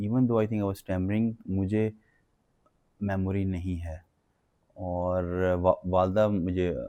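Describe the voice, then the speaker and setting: Very deep and low, a man speaks at a very slow pace in a monotone, flat way with long, frequent pauses. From Pakistan. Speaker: stammering advocate. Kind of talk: interview. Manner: halting.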